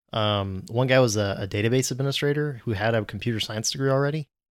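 This man has an ordinary speaking voice. He moves along at a fairly quick pace. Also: very clean recording, silent background. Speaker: podcast host, JavaScript developer. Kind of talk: casual chat.

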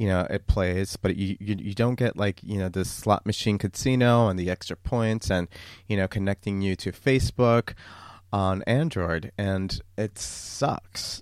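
At a fairly slow pace, a man talks in a fairly low pitch with ordinary pitch variation. The recording is very clean and dry, close, with a silent background and no echo. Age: 30s. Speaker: podcast host. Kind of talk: casual solo monologue.

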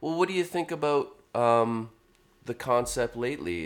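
A man is talking. The pitch of his voice swings very widely. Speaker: songwriter and band frontman. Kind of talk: casual chat. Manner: soft-spoken.

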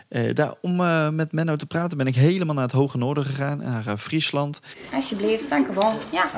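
A man speaks in a fairly high pitch. Noticeable background noise sits behind him. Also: ordinary pitch variation. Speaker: podcast host. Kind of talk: casual chat. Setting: outdoors. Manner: fast; halting.

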